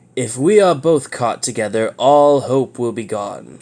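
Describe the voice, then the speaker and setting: Using a put-on character voice, a man talks at a moderate pace. His pitch is medium. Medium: read story. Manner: urgent, grave.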